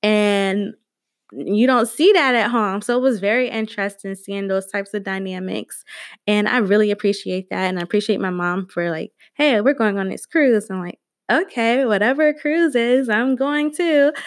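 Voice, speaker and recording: Lively intonation and a moderate pace mark this speaker with an American accent, on a very clean recording with a silent background. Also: woman, fairly high pitch for a woman. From US South, Georgia. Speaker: podcast host. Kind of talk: casual solo podcast talk.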